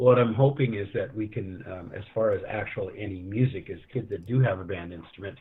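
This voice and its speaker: A man with a Canadian accent and an unremarkable speaking voice, fairly low in pitch with ordinary pitch variation, at a fairly quick pace with hardly any pauses and big swings in loudness. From Canada. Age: 60s. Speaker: school band teacher and trumpet player. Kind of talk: casual interview chat. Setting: livestream.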